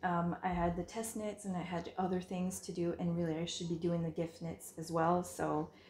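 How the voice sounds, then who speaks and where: The woman's voice is fairly low in pitch and somewhat breathy. Room echo is audible around her. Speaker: knitting podcast host. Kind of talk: casual chat. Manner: hesitant, many fillers. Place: home room. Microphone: phone near.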